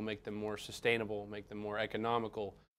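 A man's fairly low-pitched voice at a fairly quick pace. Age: young. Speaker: engineering professor. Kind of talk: interview. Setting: lab. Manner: halting, frequent fillers and repetitions. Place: workshop. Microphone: lapel.

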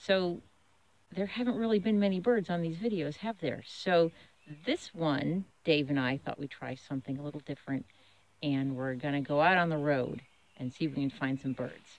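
With an American accent, a woman speaks in a very deep, low pitch with lively intonation. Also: moderate pace, dry sound with no echo. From Massachusetts (Waltham); Massachusetts. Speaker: children's author and illustrator. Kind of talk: casual outdoor vlog narration. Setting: outdoors.

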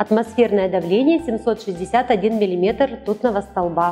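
Faint music plays behind a woman with a fairly high pitch. She talks at a moderate pace with ordinary pitch variation. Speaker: weather presenter, TV announcer. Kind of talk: TV weather forecast presentation. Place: studio. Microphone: lapel.

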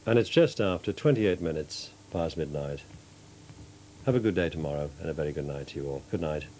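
Very deep and low, the man's voice has a warm, dark, mellow tone with ordinary pitch variation. He talks at a fairly quick pace over light background noise. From northeast England. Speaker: television continuity announcer. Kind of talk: TV weather report within closedown announcements. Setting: TV studio. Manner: smooth, warm, measured; friendly, chatty, slightly informal. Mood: warm, friendly late-night tone.

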